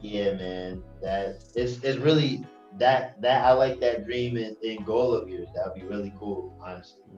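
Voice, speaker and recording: Music plays in the background as a speaker with an American accent talks at a fairly slow pace, with ordinary pitch variation and big swings in loudness. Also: man, medium pitch for a man. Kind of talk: casual talk-show conversation.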